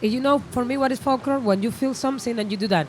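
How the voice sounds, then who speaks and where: A woman with a Spanish accent and a fairly high pitch, using ordinary pitch variation. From Cuba. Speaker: musician. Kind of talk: interview. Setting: festival interview area. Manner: halting.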